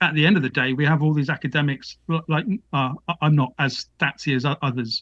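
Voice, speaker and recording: Fairly high male voice with ordinary pitch variation, moderate pace, and a dry, close sound with no echo. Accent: British. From UK. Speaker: author and academic. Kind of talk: interview. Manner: halting.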